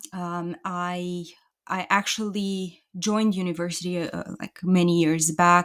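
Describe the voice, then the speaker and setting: A woman with a Romanian accent speaks at medium pitch and a very slow pace. The recording is very clean, with a silent background. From Romania, Bucharest. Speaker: entrepreneur. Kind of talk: casual interview.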